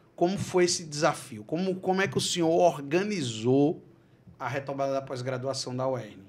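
Lively intonation and a moderate pace in a man's fairly high-pitched speech. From Brazil. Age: 40s. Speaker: podcast host. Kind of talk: interview. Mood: warm, friendly. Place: studio. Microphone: studio mic.

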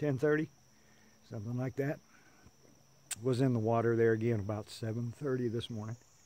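The man's voice has a dark, mellow tone. He speaks at a fairly slow pace. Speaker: kayaker vlogger. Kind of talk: casual vlog narration. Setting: outdoors on kayak. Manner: relaxed, casual.

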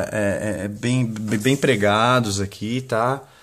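A man's monotone, flat intonation. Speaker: used-wood crate seller. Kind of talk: street-market style sales pitch, pitching a bargain lot of crates straight to camera. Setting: workshop/warehouse, video recording. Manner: rambling and improvised, with filler words and self-corrections. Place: home room. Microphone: phone near.

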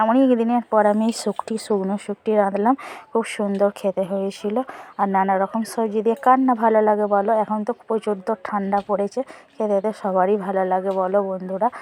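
A woman speaks at a medium pitch with a monotone, flat intonation. The sound is dry and close, with no echo. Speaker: lifestyle vlogger, homemaker. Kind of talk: casual vlog voiceover. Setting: outdoors in the sun.

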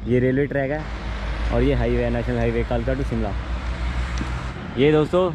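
Loud background noise surrounds a man speaking at a fairly slow pace. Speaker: travel vlogger. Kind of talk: casual vlog chat. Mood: cheerful, excited. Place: forest. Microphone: phone near.

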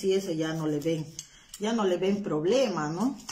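Speech comes at a fairly slow pace with ordinary pitch variation, and light background noise sits behind it. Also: woman. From Peru, Huancayo. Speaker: craft instructor. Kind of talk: live-stream craft tutorial. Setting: live stream from home, not her workshop. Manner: chatty, informal. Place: home room. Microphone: phone near.

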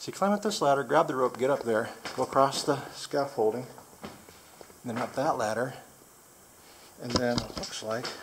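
Long, frequent pauses break up speech at a moderate pace, with noticeable background noise behind it. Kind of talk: casual vlog commentary. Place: tunnel cave. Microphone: phone near.

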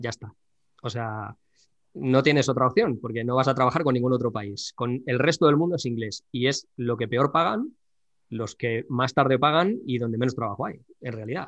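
At a moderate pace, a man talks in a plain, everyday voice, his pitch medium and its variation ordinary. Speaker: YouTube drawing channel host. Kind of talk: casual interview chat.

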